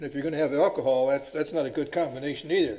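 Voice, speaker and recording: A fairly high-pitched male voice with ordinary pitch variation. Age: 80s+. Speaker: planning commissioner. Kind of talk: meeting discussion. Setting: public meeting.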